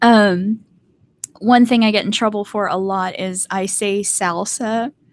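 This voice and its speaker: A woman's medium-pitched voice in a North Carolina accent, monotone and flat, at a fairly slow pace. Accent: Southern US (North Carolina), mild. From US, mixed (born Maryland, raised Hawaii and elsewhere). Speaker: artist and video creator. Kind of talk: casual livestream chat. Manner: casual, hesitant with many fillers.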